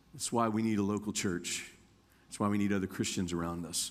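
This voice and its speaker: With an ordinary speaking voice, a man talks fairly quickly at a fairly low pitch. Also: very clean recording, silent background. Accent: American. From Indiana, US Midwest. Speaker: guest preacher. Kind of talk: sermon. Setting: church.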